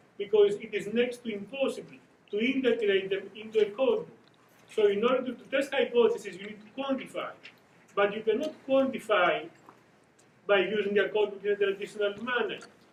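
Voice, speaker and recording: A man speaks at a fairly quick pace with a strong Greek accent and a high pitch. His intonation stays fairly even, while his loudness swings widely. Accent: Greek, thick. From Greece. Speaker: academic researcher. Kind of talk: conference presentation. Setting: conference panel. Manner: halting, with self-corrections.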